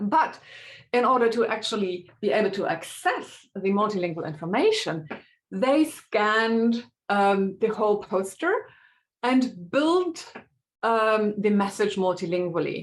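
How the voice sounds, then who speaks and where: In a German accent, a woman speaks at a fairly slow pace and fairly high pitch. Her intonation is lively while her loudness stays very even. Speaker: linguistics researcher. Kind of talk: academic webinar talk. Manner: hesitant with many fillers.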